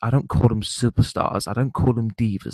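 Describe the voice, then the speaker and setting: Quiet and fairly low in pitch, a man's voice comes through dry and close with no echo. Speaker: gaming and wrestling vlogger. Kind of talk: rant to camera. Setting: online broadcast, off camera.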